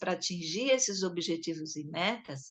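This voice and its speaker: A woman's lively intonation at a moderate pace. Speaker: education supervisor coordinating a study session. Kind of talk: lecture.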